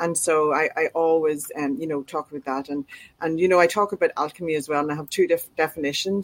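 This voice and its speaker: A woman with an Irish accent and a very deep, low pitch, ordinary pitch variation, and a dry, close sound with no echo. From Ireland. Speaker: author and publisher. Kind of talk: interview.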